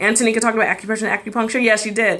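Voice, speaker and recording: With an American accent, a woman speaks at medium pitch in a bright, sharp tone. She sounds animated. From US South. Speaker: physician hosting live health show. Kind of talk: live stream health Q&A. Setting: live video stream. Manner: fast.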